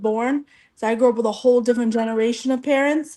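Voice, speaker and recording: Very fast speech comes in a dark, mellow tone. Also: woman. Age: 30s. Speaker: panelist on live advice show. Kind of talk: live stream panel discussion.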